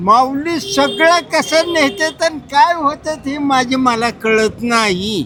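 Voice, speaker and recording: A raised, projected voice with lively intonation carries over noticeable background noise. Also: man, extremely high pitch for a man. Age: 80s+. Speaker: pilgrim, former porter. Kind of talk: interview answer. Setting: outdoors.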